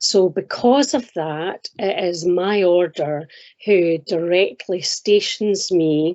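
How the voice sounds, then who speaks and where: Speaking very slowly with a Scottish accent, a woman uses a fairly low pitch with ordinary pitch variation. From Scotland. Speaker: minister and chaplain. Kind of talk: interview.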